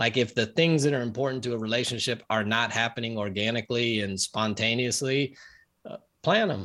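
This man's tone is bright and sharp, at a medium pitch with ordinary pitch variation and a fairly quick pace. The recording is very clean, with a silent background. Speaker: pastor and marriage counselor. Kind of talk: interview. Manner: calm, comforting.

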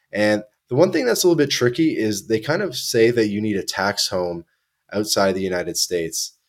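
A man with a Canadian accent uses a normal speaking voice, fairly low in pitch with lively intonation and a fairly quick pace, on a very clean recording with a silent background. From Canada, Toronto. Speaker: podcast host. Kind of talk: casual chat.

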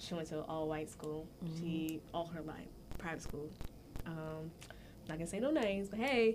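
With an American accent and a fairly low pitch, a woman talks at a moderate pace with ordinary pitch variation, long, frequent pauses and audible room echo. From US, Jamaican family. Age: 20s. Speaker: college student podcast guest. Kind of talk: casual chat.

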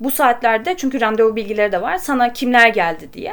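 A woman talks at a moderate pace. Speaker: podcast host. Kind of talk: casual chat about true crime. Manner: chatty, informal.

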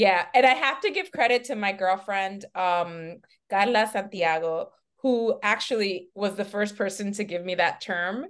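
A woman with an American accent, a normal speaking voice, speaks at a medium pitch and fairly slow pace with ordinary pitch variation. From New York City, Washington Heights, Dominican family. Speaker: talent manager. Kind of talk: casual interview chat. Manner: relaxed, upbeat.

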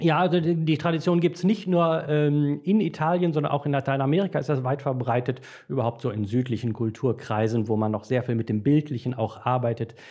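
A man speaks with lively intonation in a dark, mellow tone. The background is quiet. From Dortmund, Ruhr area, Germany. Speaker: priest trainer and author. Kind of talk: casual chat.

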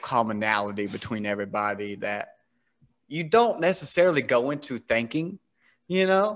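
Man with an American accent and an unremarkable speaking voice, medium pitch, lively intonation, moderate pace and a quiet background. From US South. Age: 30s. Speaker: podcast host. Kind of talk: casual interview chat.

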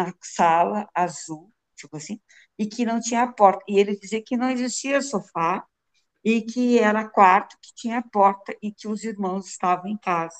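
In a dry, close sound with no echo, a woman talks in a normal speaking voice, fairly high in pitch, with ordinary pitch variation. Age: 60s. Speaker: police officer and psychologist. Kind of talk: interview.

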